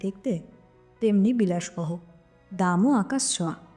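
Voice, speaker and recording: A woman talks with lively intonation while music plays behind her. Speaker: narrator. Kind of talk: audio story narration.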